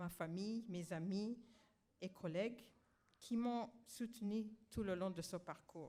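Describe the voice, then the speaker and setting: The delivery is very slow, with ordinary pitch variation. The tone is dark and mellow. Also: woman. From Rwanda. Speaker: honoree and activist. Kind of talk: ceremony acceptance speech. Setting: graduation ceremony with audience.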